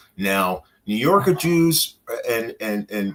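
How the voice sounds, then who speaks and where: A man speaks in a normal speaking voice. His pitch is medium and his intonation lively. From New York. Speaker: interview guest. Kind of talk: interview.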